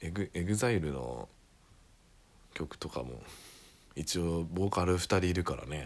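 A man speaks with a very deep, low pitch. He leaves long, frequent pauses. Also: lively intonation. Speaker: solo podcaster. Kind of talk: casual monologue. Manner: casual, rambling with fillers.

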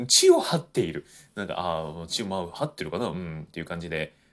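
A man at a fairly quick pace. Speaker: podcaster, former voice actor. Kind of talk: solo talk. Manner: hesitant, many fillers.

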